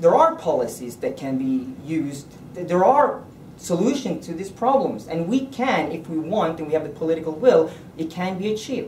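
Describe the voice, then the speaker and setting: A man's high-pitched voice with very wide pitch swings at a moderate pace, over noticeable background noise and audible room echo. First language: Norwegian. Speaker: politician. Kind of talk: political speech. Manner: halting.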